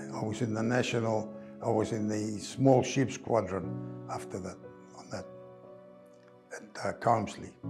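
Clear music plays in the background as a fairly slow voice with ordinary pitch variation, big swings in loudness, and long, frequent pauses comes through. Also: man, fairly low pitch for a man. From Greece (Rhodes), living in Australia. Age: 80s+. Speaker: retired carpenter and church volunteer. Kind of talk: oral history interview answer. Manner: slow, hesitant, with pauses. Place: home room. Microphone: lapel.

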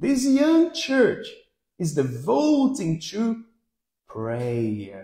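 Audible room echo surrounds a man who speaks very slowly against a quiet background. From Brazil. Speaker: pastor. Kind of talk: sermon. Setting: church. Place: hall.

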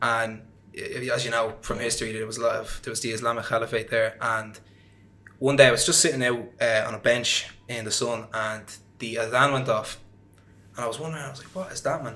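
A man speaks in a Dublin accent at a fairly quick pace. His pitch is medium, and his intonation is fairly even. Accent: Dublin Irish. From Ireland, Dublin. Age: 20s. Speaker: podcast guest. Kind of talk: interview. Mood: reflective, personal storytelling. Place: home room. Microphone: studio mic.

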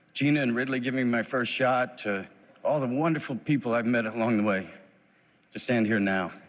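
A man at a fairly quick pace with very even loudness and ordinary pitch variation. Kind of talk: acceptance speech. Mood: grateful, warm. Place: stage. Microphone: podium.

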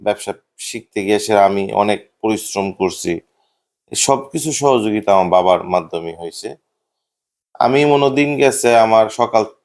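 A man speaks at a fairly low pitch with ordinary pitch variation, in an ordinary speaking voice. The recording is very clean, with a silent background. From Bhairab, Kishoreganj, Bangladesh. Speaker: business owner. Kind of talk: interview testimony.

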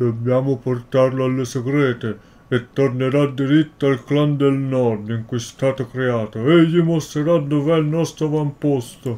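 The speaker is a man using a put-on character voice. The pitch sits in the medium range. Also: moderate pace. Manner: muttering, gruff.

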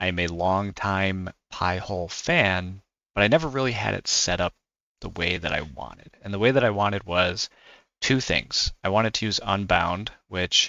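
Over a quiet background, a man speaks with a very deep, low pitch. The sound is dry, with no echo. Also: ordinary pitch variation, moderate pace. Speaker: tech hobbyist creator. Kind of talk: tutorial.

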